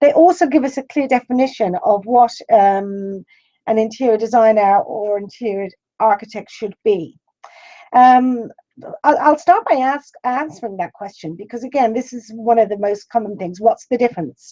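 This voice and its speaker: A woman with an Irish accent speaks at a fairly high pitch, her tone dark and mellow and her intonation lively. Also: moderate pace. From Ireland. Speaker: interior design school principal. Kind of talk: lecture. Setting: webinar.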